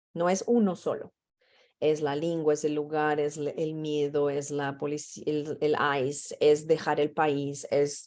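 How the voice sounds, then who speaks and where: In a Portuguese accent, a woman talks with a very deep, low pitch and a dark, mellow tone. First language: Portuguese (speaking Spanish). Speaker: mental health trainer. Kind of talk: training session.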